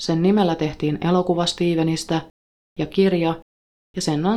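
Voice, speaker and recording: A woman speaks at a moderate pace in a dark, mellow tone, her fairly low pitch held in fairly even intonation. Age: 30s. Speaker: true crime podcast host. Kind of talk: scripted narration. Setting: recording in a sauna.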